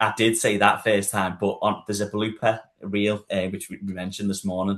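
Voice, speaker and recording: With a Liverpool accent, a man speaks at a fairly low pitch and with fairly even intonation. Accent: Scouse. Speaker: estate agent. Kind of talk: casual panel discussion. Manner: hesitant, with fillers and repetitions.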